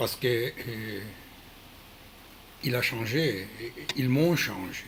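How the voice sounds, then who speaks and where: Audible room echo carries a man's medium-pitched voice as he talks at a very slow pace with ordinary pitch variation. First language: not French (speaking French). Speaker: Krav Maga instructor. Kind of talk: video address. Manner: halting, many hesitations.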